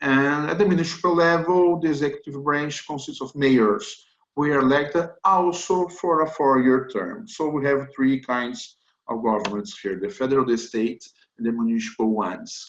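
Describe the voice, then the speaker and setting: With a Brazilian accent, a man speaks at a moderate pace in a fairly high pitch with lively intonation. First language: Portuguese. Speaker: corporate lawyer. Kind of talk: webinar presentation. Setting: online webinar. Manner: hesitant, with frequent fillers.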